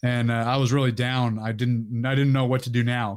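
The man's voice is at a medium pitch on a very clean recording with a silent background. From Northern California (Sacramento area). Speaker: Marine veteran and fitness YouTuber. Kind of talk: casual interview.

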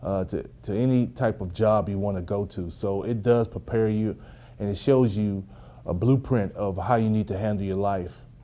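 Dark and mellow in tone, a man's fairly low voice carries a Texas accent. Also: ordinary pitch variation, moderate pace. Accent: Southern US (Texas). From rural East Texas. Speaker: former pro football player. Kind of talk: interview. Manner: halting, with fillers.

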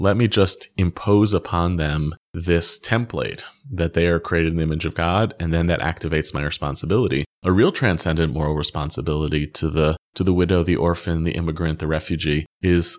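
The recording is very clean with a silent background as a speaker with an American accent talks fairly quickly. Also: man. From grew up in Egypt, Israel and US. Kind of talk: interview conversation. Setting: office.

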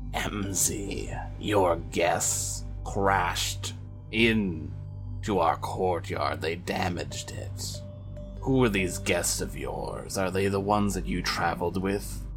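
Over loud music in the background, a man does a put-on character voice with a very deep, low pitch at a very slow pace. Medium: actual play. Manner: imperious, cold.

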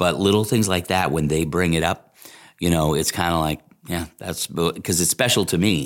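Here a man talks at a moderate pace. His pitch is very deep and low. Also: ordinary pitch variation. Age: 50s. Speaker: radio morning show host. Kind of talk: casual chat.

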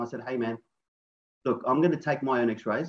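The speaker is a man with an Australian accent. His words come at a very fast pace. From Australia, Sydney. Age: 40s. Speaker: chiropractor and business owner. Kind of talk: interview conversation.

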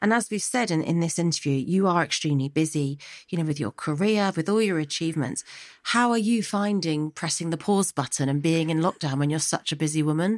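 At a fairly quick pace, a woman with an ordinary speaking voice speaks fairly low in pitch and at very even loudness. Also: ordinary pitch variation. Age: 30s. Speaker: podcast host. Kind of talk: interview. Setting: remote call from home.

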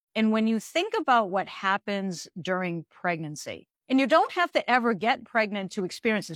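Recorded very cleanly against a silent background, dry and close with no echo, a woman uses a normal speaking voice at medium pitch with lively intonation. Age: 50s. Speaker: reproductive endocrinologist. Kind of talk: interview.

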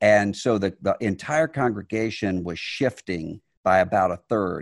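In an American accent, a man uses a normal speaking voice at a fairly low pitch, talking at a fairly slow pace with ordinary pitch variation and a dry, close sound with no echo. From US Gulf Coast Mississippi. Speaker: religious leader and author. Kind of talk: interview conversation.

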